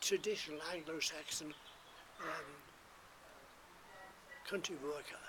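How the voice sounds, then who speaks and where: A man talks at a moderate pace with fairly even intonation over noticeable background noise. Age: 80s+. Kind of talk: interview answer.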